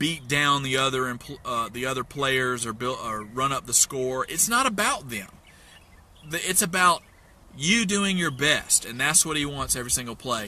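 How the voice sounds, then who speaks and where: Speaking with a Southern US accent, a man talks at a moderate pace with lively intonation. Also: medium pitch for a man. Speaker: investment mentor. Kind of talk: motivational talk. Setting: in a parked truck. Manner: animated.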